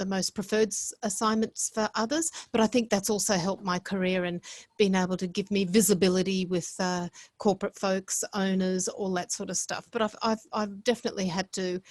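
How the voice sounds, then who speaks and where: A woman with an Australian accent speaks with fairly even intonation against a quiet background. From Australia (Brisbane), Italian household. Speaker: hotel executive. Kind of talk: podcast interview. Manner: halting, many repetitions.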